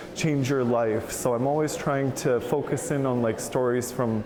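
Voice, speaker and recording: The speaker is a man with a medium-pitched voice and fairly even intonation. Background noise is noticeable. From Canada, Anishinaabe First Nation. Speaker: multidisciplinary artist, beadwork. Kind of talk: interview answer. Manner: casual, many fillers.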